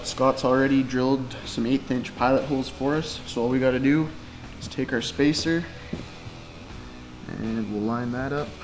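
A man speaks at a moderate pace with fairly even intonation, leaving long, frequent pauses while clear music plays in the background. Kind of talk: tutorial. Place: workshop.

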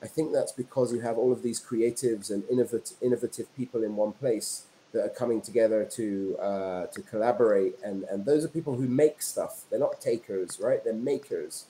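Over light background noise, a man with a British accent talks fairly quickly with hardly any pauses. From England, London. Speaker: entrepreneur and filmmaker. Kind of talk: interview. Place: home room.

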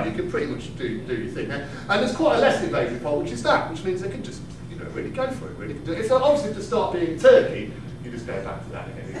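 A man talks at a very fast pace in a high pitch, with very wide pitch swings. Audible room echo and noticeable background noise fill the recording. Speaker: comedian, slam poet. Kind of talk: live comedy performance. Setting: live stage with audience. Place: stage. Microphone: camera far.

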